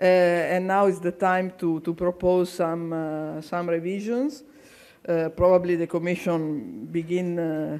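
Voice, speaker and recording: Words come at a fairly slow pace in an Italian accent. The recording is very clean, with a silent background. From Italy. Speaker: conference chair, agricultural association official. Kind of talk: conference speech. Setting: public conference hall. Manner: halting, repeats words.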